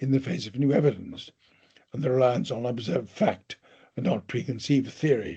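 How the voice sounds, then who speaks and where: This man's voice sits at a medium pitch and has a dark, mellow tone. There is a somewhat breathy quality to it. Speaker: professor. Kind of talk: lecture. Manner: formal.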